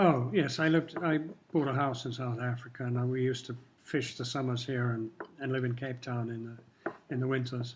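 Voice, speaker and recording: A man's medium-pitched voice, fairly quick and fairly even in intonation, over noticeable background noise. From Kenya. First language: Swahili. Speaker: longtime local resident interviewed by students. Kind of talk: interview.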